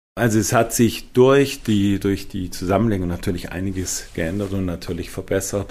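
A man with a plain, everyday voice, fairly low in pitch, with fairly even intonation, a moderate pace and hardly any pauses. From Schwenningen, Baden-Württemberg. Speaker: senior pediatric physician. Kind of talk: interview.

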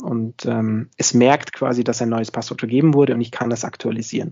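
A man at a medium pitch, moderate in pace, with fairly even intonation. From Bavaria, near Munich. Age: 20s. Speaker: IT company founder. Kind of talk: interview.

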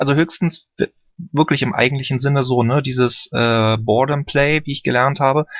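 The voice moves at a moderate pace with fairly even intonation, an unremarkable speaking voice. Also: man, fairly high pitch for a man. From Berlin. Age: 30s. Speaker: caller. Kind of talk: casual chat.

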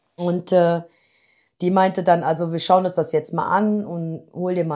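A woman has a normal speaking voice, fairly low in pitch, at a moderate pace. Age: 50s. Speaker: office clerk, weight-loss program participant. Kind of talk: interview. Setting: in person, same room as host.

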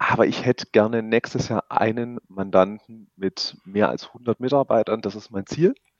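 With a normal speaking voice, someone speaks at a moderate pace in fairly even intonation, with hardly any pauses. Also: man, medium pitch for a man. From Stuttgart, Swabia. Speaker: insurance broker. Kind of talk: interview. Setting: phone call.

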